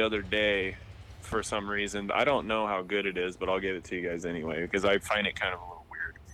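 In a Pacific Northwest accent, a man speaks at a fairly quick pace. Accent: Pacific Northwest American. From Spokane, Washington. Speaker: podcast guest, old school friend. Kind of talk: casual chat.

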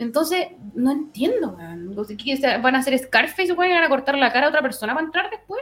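Against noticeable background noise, a woman with a high pitch and very wide pitch swings speaks at a moderate pace. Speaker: football podcast panelist. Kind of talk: casual chat.

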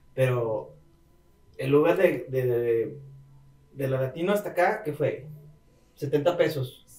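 A man talks in a somewhat breathy voice. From Monterrey, Mexico. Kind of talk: casual chat.

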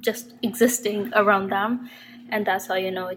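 A woman's medium-pitched voice with fairly even intonation over music in the background. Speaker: podcast host. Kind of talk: casual monologue. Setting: temporary place in another city.

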